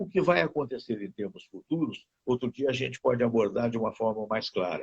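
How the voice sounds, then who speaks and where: Somewhat breathy, a man talks at a fairly quick pace in a dry, close sound with no echo. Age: 70s. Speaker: radio host. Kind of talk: casual chat.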